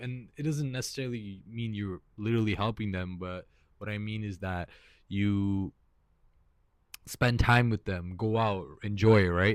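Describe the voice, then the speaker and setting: A man's fairly low voice at a fairly slow pace, with ordinary pitch variation, on a very clean recording with a silent background. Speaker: vlogger. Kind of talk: casual monologue. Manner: halting, repeats words; casual, relaxed.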